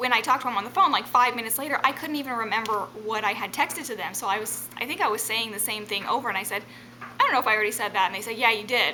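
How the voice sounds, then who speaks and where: Over noticeable background noise, a woman with a fairly high pitch speaks at a very fast pace. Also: ordinary pitch variation. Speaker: vlogger sharing mental health experience. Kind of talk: personal vlog monologue. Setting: home, on a couch. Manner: rambling, hesitant with many ums.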